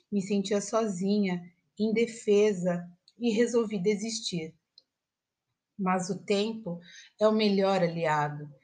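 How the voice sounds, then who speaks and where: A woman speaks at a very slow pace, with long, frequent pauses. Her medium-pitched voice has a dark, mellow tone, is somewhat breathy and keeps a fairly even intonation. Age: 40s. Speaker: teacher. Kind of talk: personal essay read aloud.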